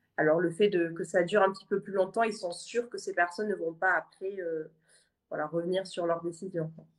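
This is a woman with an ordinary speaking voice at medium pitch. She talks at a fairly quick pace with fairly even intonation. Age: 20s. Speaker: adoptee. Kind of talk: casual chat.

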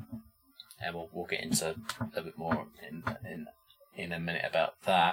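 A man with a British accent speaks with long, frequent pauses. His loudness swings widely. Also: moderate pace. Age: 30s. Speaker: podcast host, metal fan. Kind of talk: casual chat.

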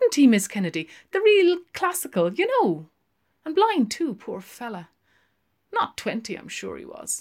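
A woman puts on a character voice, fairly high and slightly mellow. She speaks at a fairly slow pace with very wide pitch swings.

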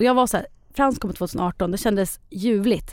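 This woman's pitch shows ordinary variation. The background is silent, and the recording is very clean. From Sweden, Eskilstuna. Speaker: expectant mother. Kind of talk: casual chat.

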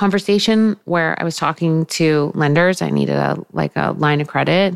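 With a normal speaking voice, a woman talks at a fairly quick pace and with ordinary pitch variation. The sound is dry and close, with no echo. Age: 40s. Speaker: fashion entrepreneur. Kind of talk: casual chat.

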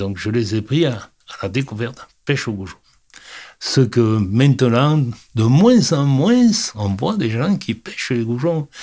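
Recorded very cleanly against a silent background, a man talks at a fairly slow pace with very wide pitch swings. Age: 70s. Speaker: fishing club president. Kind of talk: interview. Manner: halting.

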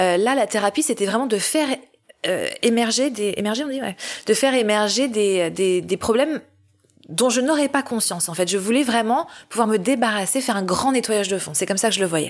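This woman has an unremarkable speaking voice, fairly high in pitch with ordinary pitch variation, and she talks at a fairly quick pace. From Paris, France. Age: 40s. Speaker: humanitarian worker. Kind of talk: testimony. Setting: at the host's home.

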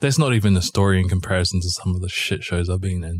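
Somewhat breathy and at a fairly quick pace, the voice comes with a New Zealand accent. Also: man. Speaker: podcast co-host. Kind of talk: casual chat. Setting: video call.

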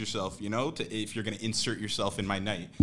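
Very fast speech comes from a man, with noticeable background noise behind him. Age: 20s. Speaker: podcast co-host and rapper. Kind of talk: casual chat.

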